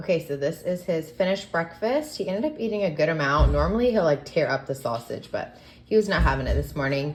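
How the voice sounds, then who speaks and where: Over noticeable background noise, a woman talks at a very fast pace. She takes hardly any pauses. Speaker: mom vlogger. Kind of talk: casual vlog narration. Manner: casual, filler-heavy.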